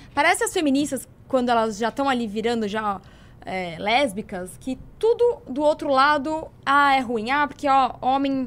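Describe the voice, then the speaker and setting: This is a woman speaking at a high pitch. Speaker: political commentator. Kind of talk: casual chat.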